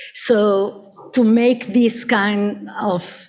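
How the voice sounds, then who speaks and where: Here is a woman with a medium pitch. Her voice is somewhat breathy. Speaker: architectural historian. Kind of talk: academic conference talk. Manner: hesitant, many fillers.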